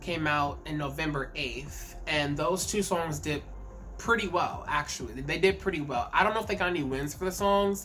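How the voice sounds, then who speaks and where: Music plays in the background as a woman speaks at a moderate pace, with audible room echo. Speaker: K-pop commentary YouTuber. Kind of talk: casual vlog commentary. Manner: halting, repeats words.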